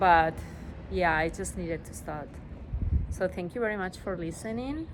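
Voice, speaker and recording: A woman's fairly low voice with vocal fry, a strong non-native accent, a moderate pace, ordinary pitch variation and big swings in loudness. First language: Spanish. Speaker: vlogger. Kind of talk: personal vlog monologue. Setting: outdoors on a rooftop. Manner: halting, many fillers.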